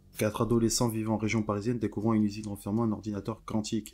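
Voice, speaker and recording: A man's very fast, flat, monotone delivery, fairly low in pitch with a dark, mellow tone. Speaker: YouTuber discussing a cartoon series. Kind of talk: commentary video, partly read script.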